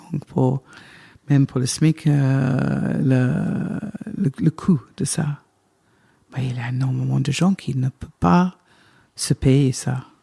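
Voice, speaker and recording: With a British accent, vocal fry and a dark, mellow tone, the speaker talks at a very slow pace with lively intonation and long, frequent pauses. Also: woman, dry, close sound with no echo. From Britain. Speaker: wine estate manager. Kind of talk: interview answer. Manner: talkative, lively, cheerful.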